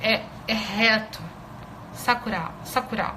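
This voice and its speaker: Fairly high in pitch, a woman speaks with a Brazilian accent. Audible room echo and noticeable background noise surround her voice. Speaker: Japanese language teacher. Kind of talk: live online lesson. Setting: Instagram live stream. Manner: hesitant, many filler sounds.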